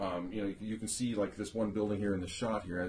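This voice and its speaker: A man's fairly low, somewhat breathy voice. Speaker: interviewer, son of the subject. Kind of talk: casual conversation, oral history interview.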